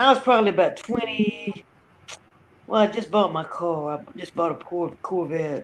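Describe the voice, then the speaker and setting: Noticeable background noise accompanies a woman of medium pitch at a moderate pace. Her intonation is lively, with big swings in loudness. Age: 60s. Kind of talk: casual chat. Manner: animated.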